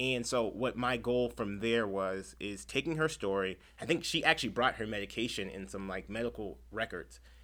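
With an American accent and vocal fry, a man speaks at a fairly low pitch in a bright, sharp tone, with lively intonation, a moderate pace and hardly any pauses, on a very clean recording with a silent background. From San Diego, California (Chula Vista). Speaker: public defender. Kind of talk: casual interview.

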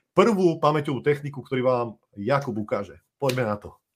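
Speaking at a fairly quick pace, a man sounds somewhat breathy, with lively intonation. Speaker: podcast host. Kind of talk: live-streamed interview.

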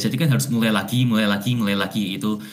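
In a room with audible echo and noticeable background noise, a man talks at a very fast pace. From Indonesia, Javanese Chinese. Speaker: graduate student. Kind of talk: casual chat.

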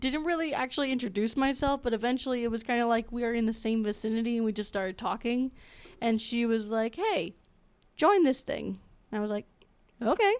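An unremarkable speaking voice with an American accent, ordinary pitch variation and a fairly quick pace. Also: woman, fairly high pitch for a woman. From Florida. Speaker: engineering student, club officer. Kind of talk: casual chat.

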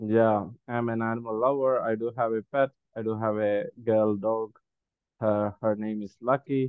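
In an Indian accent, a man speaks at a moderate pace with monotone, flat intonation. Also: medium pitch for a man. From Kerala, India. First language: Malayalam. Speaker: spiritual teacher and speaker. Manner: hesitant, filler-heavy.

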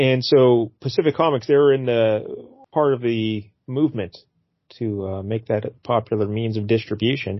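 In an ordinary speaking voice, a man talks at medium pitch with ordinary pitch variation. His pace is moderate. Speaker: podcast host. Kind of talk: casual comic-book podcast chat. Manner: joking, playful.

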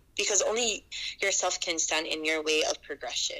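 A woman is talking. Behind her there is noticeable background noise. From Hawaii. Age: 30s. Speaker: palm reader. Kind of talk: casual interview.

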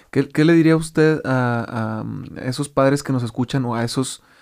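A man with a Mexican accent speaks at medium pitch on a very clean recording with a silent background. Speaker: podcast host. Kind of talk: interview.

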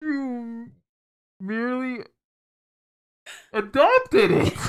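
A female-sounding voice uses a put-on character voice at a high pitch. The pace is very slow. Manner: dramatic, menacing.

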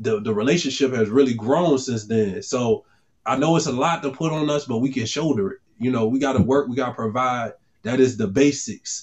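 In a plain, everyday voice, a man talks fairly quickly at a medium pitch with ordinary pitch variation. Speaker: podcast co-host, father. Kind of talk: casual chat.

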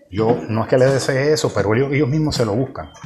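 Music plays behind a man whose medium-pitched voice shows ordinary pitch variation. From Puerto Rico (Ciales). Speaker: podcaster. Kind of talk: political commentary monologue. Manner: halting, many repetitions and fillers.

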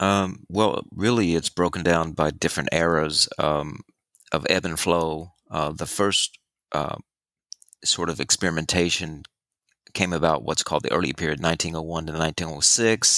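On a very clean recording with a silent background and a dry, close sound with no echo, a soft-spoken man talks at a moderate pace in a very deep, low voice that is bright and sharp in tone, his intonation fairly even. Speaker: recurring guest and co-host. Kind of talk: casual chat.

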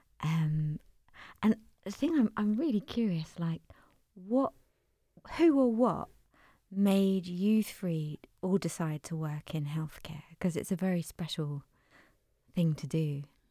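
A woman with a fairly low, dark and mellow voice speaks at a fairly slow pace with lively intonation, somewhat breathy, with long, frequent pauses. The recording is very clean, with a silent background. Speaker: interviewer. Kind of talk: interview. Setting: in person interview.

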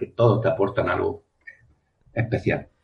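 A man speaks in a somewhat breathy voice. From Spain, Andalusia (Almería province). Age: 40s. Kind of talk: interview.

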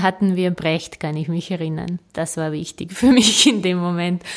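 A woman speaks with a Serbian accent at a fairly low pitch. Her intonation stays fairly even. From Serbia, Belgrade. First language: Serbian (speaking German). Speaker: novelist. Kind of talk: interview. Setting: in person at her writing office. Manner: hesitant, many fillers.

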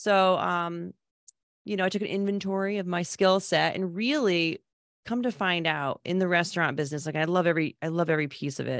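On a very clean recording with a silent background, a woman speaks in an ordinary speaking voice. Her pitch is fairly low and her pace fairly quick. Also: ordinary pitch variation. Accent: American. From Connecticut, New England. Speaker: restaurant business consultant and author. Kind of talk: casual interview.

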